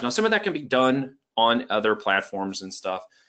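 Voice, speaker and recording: Talking at a fairly quick pace, a man with a medium pitch and vocal fry makes very wide pitch swings. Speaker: ecommerce trainer. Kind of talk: webinar training presentation. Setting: online webinar with screen share. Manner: fast; casual, energetic.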